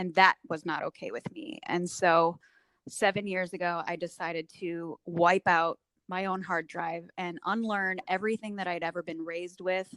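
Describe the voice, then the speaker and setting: A woman with an unremarkable speaking voice talks at a fairly low pitch and a moderate pace. The sound is dry and close, with no echo. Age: 40s. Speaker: recovery coach. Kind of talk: interview testimony. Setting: podcast interview.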